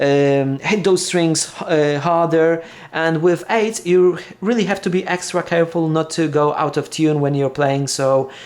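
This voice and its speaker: The speaker talks at a moderate pace with a Polish accent. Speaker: guitar hobbyist video creator. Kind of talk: casual unboxing monologue. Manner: halting, many fillers and restarts.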